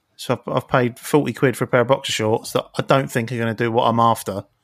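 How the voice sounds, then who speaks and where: A man with a plain, everyday voice at a medium pitch, fairly quick, with ordinary pitch variation and a dry, close sound with no echo. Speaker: podcast co-host. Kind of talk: casual chat.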